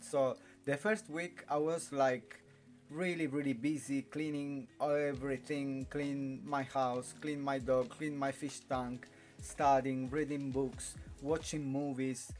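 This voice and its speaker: Speech in an Italian accent comes at a very slow pace with fairly even intonation. Faint music sits in the background. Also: man. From Italy. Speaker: vlogger. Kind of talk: casual talk to camera. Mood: relaxed, a bit weary. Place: home room. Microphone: phone near.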